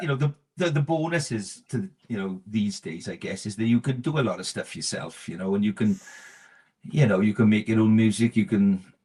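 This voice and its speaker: Speaking with a South Wales accent, a man at a medium pitch uses lively intonation and a dark, mellow tone. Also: fairly quick pace. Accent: South Wales Valleys. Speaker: musician. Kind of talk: interview answer.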